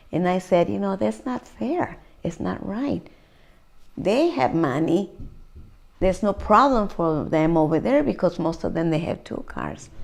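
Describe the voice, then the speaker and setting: Vocal fry marks a woman's fairly low voice, delivered at a fairly slow pace with long, frequent pauses. Her pitch swings very widely over a very clean recording with a silent background. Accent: Spanish. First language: Spanish. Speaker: community activist, parent. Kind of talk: oral history interview. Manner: mixes Spanish and English.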